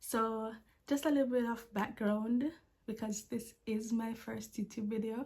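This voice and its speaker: Delivered at a fairly slow pace, the somewhat breathy voice stays monotone with flat intonation. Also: woman, fairly high pitch for a woman. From Jamaica. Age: 20s. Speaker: vlogger, language assistant. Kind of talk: casual vlog talk to camera. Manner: stutters when anxious.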